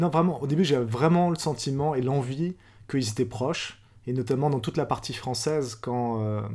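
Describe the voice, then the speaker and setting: Male voice at medium pitch with a dark, mellow tone, moderate pace, and ordinary pitch variation. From France. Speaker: novelist and philosopher. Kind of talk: interview.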